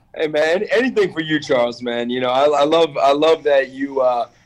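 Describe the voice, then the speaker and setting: This man has a fairly high pitch. He talks at a moderate pace. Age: 20s. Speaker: real estate wholesaler. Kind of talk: casual chat. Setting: remote call from his office. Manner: animated.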